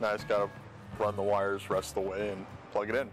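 Over clear background music, a man speaks at a very fast pace. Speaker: hobby mechanic vlogger. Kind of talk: casual tutorial vlog. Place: garage. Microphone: phone near.

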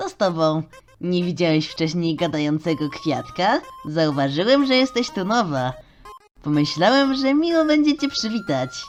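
A female-sounding put-on character voice sits at medium pitch with very wide pitch swings. Faint music plays in the background. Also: moderate pace. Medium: dub.

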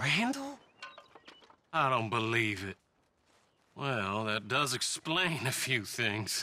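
A man's put-on character voice, slow in pace, bright and sharp in tone, with big pitch swings. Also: medium pitch for a man.

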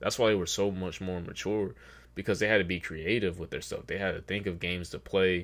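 This man's voice sits fairly low in pitch. His pitch varies in an ordinary way. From North Carolina, US South. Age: 20s. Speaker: YouTube reaction creator. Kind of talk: casual video commentary. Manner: casual, halting with fillers.

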